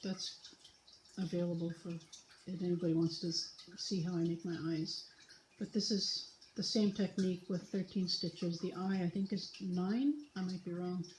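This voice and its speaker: A woman's speech with long, frequent pauses and fairly even intonation, plus audible room echo and light background noise. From British Columbia, Canada. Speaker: knitting vlogger. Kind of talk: casual tutorial vlog. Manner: slow with long pauses; hesitant, filler words. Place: home room. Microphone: phone near.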